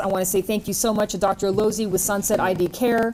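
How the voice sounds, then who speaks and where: A woman speaks at a medium pitch. Her intonation is fairly even. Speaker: TV health program host. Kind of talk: TV panel interview. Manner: fast.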